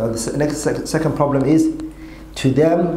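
Room echo is audible. A man speaks at a moderate pace. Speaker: religious teacher. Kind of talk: lecture. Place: classroom. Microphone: podium.

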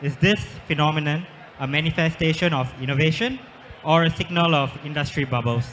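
A man's fairly high voice at a fairly quick pace, ordinary pitch variation, long and frequent pauses, and light background noise. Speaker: panel moderator. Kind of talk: panel moderation. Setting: stage with audience. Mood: light, joking. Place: hall. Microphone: handheld.

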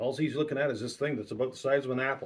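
A somewhat breathy voice at a very fast pace, with fairly even intonation. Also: man. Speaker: preacher. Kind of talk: sermon. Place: home room. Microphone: webcam.

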